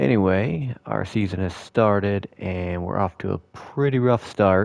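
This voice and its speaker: A man speaks in a plain, everyday voice at a fairly slow pace, fairly low in pitch with ordinary pitch variation. The recording is very clean with a silent background. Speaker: gaming video creator. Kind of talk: gameplay commentary. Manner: casual, relaxed.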